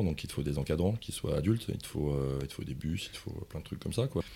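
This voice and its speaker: Speaking at a very fast pace, the man has a very deep, low pitch, a dark, mellow tone and ordinary pitch variation. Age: 40s. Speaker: project management consultant. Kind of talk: interview.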